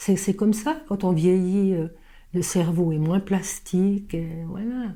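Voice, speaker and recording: Fairly slow delivery from a woman with a dark, mellow tone at medium pitch. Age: 70s. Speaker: stage actress. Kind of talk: interview. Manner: halting.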